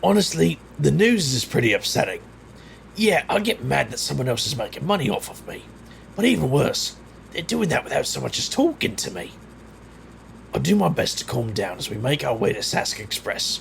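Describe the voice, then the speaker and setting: Over clear background noise, a man puts on a raspy character voice at a moderate pace, broken by long, frequent pauses. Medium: audio drama. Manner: irritable, dry.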